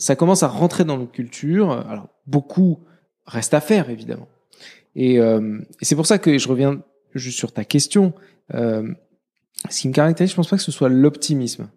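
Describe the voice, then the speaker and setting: Recorded very cleanly against a silent background, a man with a fairly high pitch and a dark, mellow tone speaks at a moderate pace with lively intonation and long, frequent pauses. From Morocco. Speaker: entrepreneur and conference founder. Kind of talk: interview conversation. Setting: office.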